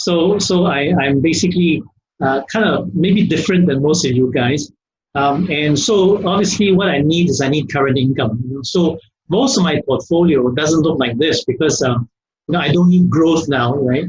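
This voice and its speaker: A man with a fairly high voice speaks at a moderate pace with ordinary pitch variation. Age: 60s. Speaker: risk management expert. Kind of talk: webinar Q&A answer. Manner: hesitant, many fillers.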